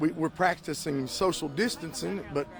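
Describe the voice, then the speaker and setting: Over noticeable background noise, a man speaks at a moderate pace, his fairly high voice showing ordinary pitch variation. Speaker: pastor. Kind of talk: interview answer.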